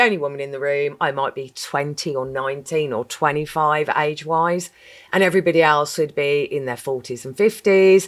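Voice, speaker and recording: A woman speaks with a very deep, low pitch and ordinary pitch variation. The recording is very clean, with a silent background. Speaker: managing director. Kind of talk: interview. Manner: loud; talkative.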